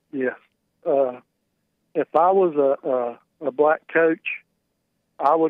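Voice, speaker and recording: Here is an unremarkable speaking voice: a man, fairly high-pitched, with fairly even intonation. The sound is dry with no echo, and the background is quiet. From North Carolina. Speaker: caller. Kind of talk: call-in conversation. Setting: phone call. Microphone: phone line.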